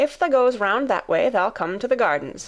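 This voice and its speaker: In a raspy, put-on character voice, a woman speaks at a moderate pace and a high pitch with very wide pitch swings, on a very clean recording with a silent background. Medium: read story. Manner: chatty, homely dialect.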